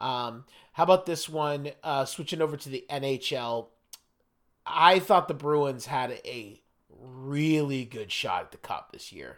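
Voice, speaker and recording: A man with an American accent uses a normal speaking voice, fairly high in pitch, at a fairly slow pace with ordinary pitch variation. His loudness swings widely, on a very clean recording with a silent background. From US Mid-Atlantic, near Washington DC. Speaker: podcast host. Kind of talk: casual chat.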